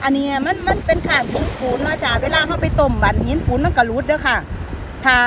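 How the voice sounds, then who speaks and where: Light background noise with a dry, echo-free sound. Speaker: vlogger picking mussels. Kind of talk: casual vlog chat. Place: beach. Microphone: phone near.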